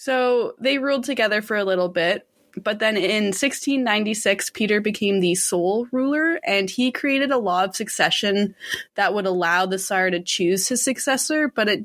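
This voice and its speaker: Using a plain, everyday voice, a woman speaks at a moderate pace with a fairly high pitch, ordinary pitch variation and very even loudness. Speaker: podcast co-host telling the case history. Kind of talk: casual storytelling.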